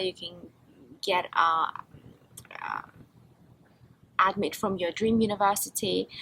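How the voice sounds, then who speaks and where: This woman has a bright, sharp tone at a medium pitch. Vocal fry runs through her speech. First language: Russian. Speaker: international student interviewee. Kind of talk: casual interview chat.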